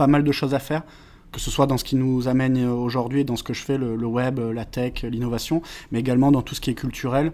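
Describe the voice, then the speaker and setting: A man with a slight southern French accent talks at a very fast pace, his medium-pitched voice flat and monotone. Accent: slight southern French accent on O and A. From France, Valence (Drôme). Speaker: web marketing consultant. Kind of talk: podcast interview. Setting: meeting room. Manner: hesitant, many filler sounds.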